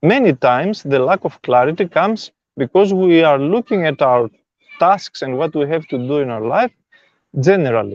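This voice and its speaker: With a non-native accent, a man talks at a moderate pace and a fairly high pitch, his intonation lively and the sound dry and close with no echo. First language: not English. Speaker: spiritual self-help teacher. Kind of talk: live stream talk. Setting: live stream.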